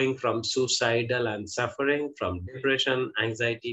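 A quiet background and a man speaking at a fairly slow pace. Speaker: interview host. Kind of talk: guest introduction. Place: home room. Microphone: video call.

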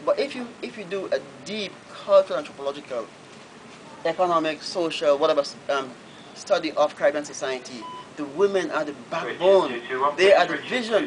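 Against noticeable background noise, a man with a high pitch and lively intonation talks at a fairly quick pace, with long, frequent pauses and big swings in loudness. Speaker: novelist. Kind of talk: Q&A answer at a book reading. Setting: bookshop event, live audience. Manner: hesitant, repetitive. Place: shop. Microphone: camera far.

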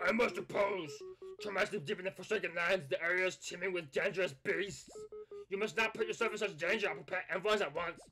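At a very fast pace and a middle pitch, a put-on character voice plays over faint music in the background. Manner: urgent, dramatic.

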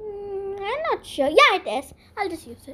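A woman's put-on character voice at an extremely high pitch, with very wide pitch swings, big swings in loudness, and a moderate pace. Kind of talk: comic overacting. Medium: voice reel. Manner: chatty, addresses viewers directly.

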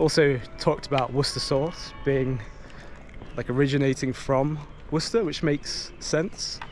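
Speaking at a moderate pace in an East Midlands accent, a man is heard in a dry recording with no echo and light background noise. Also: ordinary pitch variation. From Nottingham, England. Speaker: food delivery rider and video creator. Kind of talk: vlog narration. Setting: outdoors.

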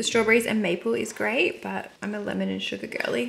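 A woman talks at a fairly quick pace at medium pitch, with vocal fry, a fairly bright tone and fairly even intonation, in audible room echo.

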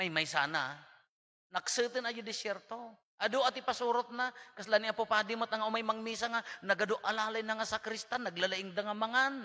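A raised, projected voice with a bright, sharp, animated tone at a fairly quick pace over a quiet background. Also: man, high pitch for a man, ordinary pitch variation. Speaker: priest giving homily. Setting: church. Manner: conversational, animated, jokes and laughs; mixes Ilocano, Tagalog and English. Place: church. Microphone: podium.

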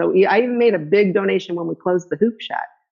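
Against a quiet background, a woman talks at a medium pitch with lively intonation. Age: 60s. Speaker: hula hoop fitness instructor. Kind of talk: interview. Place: home room. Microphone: phone near.

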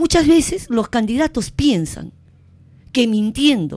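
A woman's high voice, dark and mellow in tone, with very wide pitch swings at a fairly slow pace. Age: 50s. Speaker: mayoral candidate. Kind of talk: campaign interview. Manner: emphatic.

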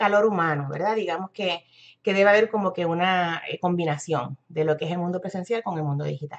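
With a Puerto Rican accent, a woman speaks at a medium pitch with ordinary pitch variation. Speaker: internet marketer and business coach. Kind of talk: live-stream tutorial. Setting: live video stream.

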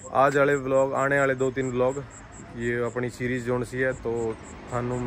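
A man's flat, monotone voice at a fairly slow pace, dry with no echo, over noticeable background noise. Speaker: vlogger. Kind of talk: casual vlog chat. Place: street. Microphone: phone near.

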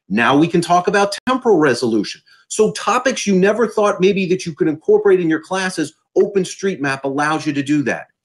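A man speaks at a fairly quick pace in a high pitch, his tone animated and his intonation lively, against a quiet background. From US Northeast, South Jersey; New Jersey. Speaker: university professor. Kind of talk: conference presentation. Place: home room.

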